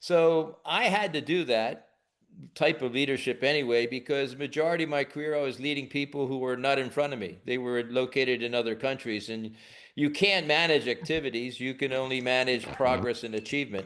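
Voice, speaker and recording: In a normal speaking voice, a man with an American accent talks at a fairly quick pace in a medium pitch over a quiet background. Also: ordinary pitch variation. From United States. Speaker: leadership trainer. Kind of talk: webinar interview.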